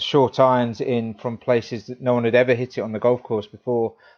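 A man speaks at a moderate pace with an English accent. His pitch sits in the middle range. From England. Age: 30s. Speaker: golf equipment reviewer. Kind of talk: casual sports chat.

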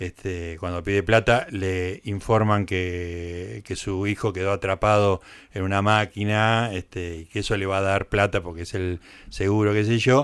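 A man with a normal speaking voice, a fairly low pitch and a fairly slow pace, on a very clean recording with a silent background. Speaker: radio host. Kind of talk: radio interview. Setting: radio studio.

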